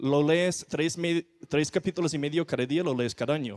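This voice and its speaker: A man with a non-native accent and fairly high pitch at a moderate pace, in a very clean, silent recording with a dry, close sound and no echo. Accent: foreign accent in Spanish. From non-Spanish-speaking country, not Mexico. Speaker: missionary preacher. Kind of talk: sermon.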